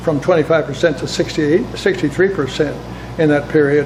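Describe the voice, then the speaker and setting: A man's fairly high voice, fairly quick and fairly even in intonation, with noticeable background noise. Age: 80s+. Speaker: former ambassador. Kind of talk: interview. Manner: halting.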